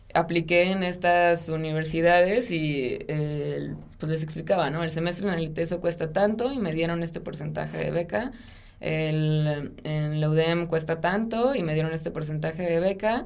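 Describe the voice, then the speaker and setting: Audible room echo surrounds a woman's voice. Her pitch sits fairly low and varies in an ordinary way. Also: moderate pace. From Mexico, Sonora (Ciudad Obregón). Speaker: architect. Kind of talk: interview conversation.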